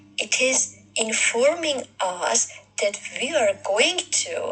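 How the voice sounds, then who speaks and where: With music playing behind her, a woman speaks in a non-native accent. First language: not English. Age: 40s. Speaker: video blogger. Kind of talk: casual monologue. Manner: halting, many fillers.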